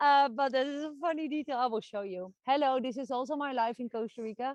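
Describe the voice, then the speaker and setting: In a Dutch accent, a woman talks very fast at a high pitch with ordinary pitch variation, in a dry, close sound with no echo. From Netherlands. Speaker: online marketing coach and vlogger. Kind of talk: vlog monologue. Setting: outdoors with dog.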